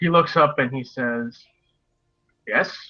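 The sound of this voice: A man's medium-pitched voice with ordinary pitch variation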